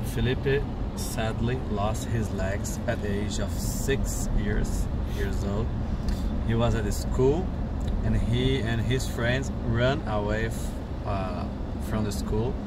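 Amid loud background noise, a man talks at a very slow pace with long, frequent pauses, the sound dry with no echo. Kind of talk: interview answer, translating a story. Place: car. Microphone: camera far.

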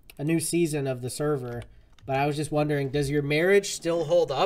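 The speaker keeps a moderate pace and a fairly even intonation. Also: man. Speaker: gaming streamer. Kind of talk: live gameplay stream chat. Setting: online voice chat. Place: home room.

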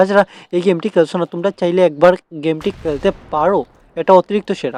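A man with a high-pitched voice speaks in a dry, close sound with no echo. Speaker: gaming YouTuber. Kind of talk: gameplay commentary. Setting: shop in a market. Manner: animated.

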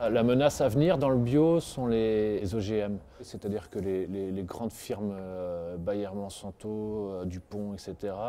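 A man talks at a very slow pace with hardly any pauses, using a fairly low pitch, a dark, mellow tone and ordinary pitch variation. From Brittany, northern Finistère; Brittany. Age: 40s. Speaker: organic produce wholesaler. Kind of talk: interview monologue. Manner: halting, many repetitions and fillers. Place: street.

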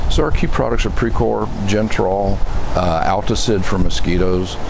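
Noticeable background noise sits under a man speaking at a moderate speed. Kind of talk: interview answer. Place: open country.

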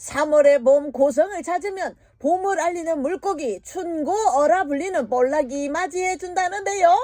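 With a Busan accent, a woman speaks at a fairly slow pace and ordinary pitch variation. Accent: Busan dialect (Gyeongsang). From South Korea, Busan region. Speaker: voice actor. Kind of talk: TV documentary narration. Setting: studio.

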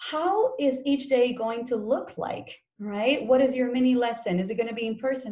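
A woman speaks at a moderate pace with ordinary pitch variation and a somewhat breathy voice. The background is quiet. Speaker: teacher workshop presenter. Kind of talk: professional development presentation. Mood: friendly and didactic. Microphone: webcam.

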